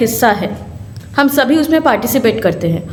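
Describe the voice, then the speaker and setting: Amid noticeable background noise and audible room echo, a woman with a Bengali accent speaks in a high voice. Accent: Bengali-accented Hindi. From Kolkata, West Bengal, India. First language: Bengali (speaking Hindi). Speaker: lawyer and human rights activist. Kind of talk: symposium speech.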